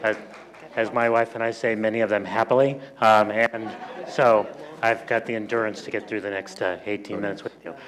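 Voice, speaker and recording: A man talks at a fairly quick pace in a medium pitch. Noticeable background noise runs behind him. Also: fairly even intonation. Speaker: sociology professor. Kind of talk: lecture. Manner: not rapid.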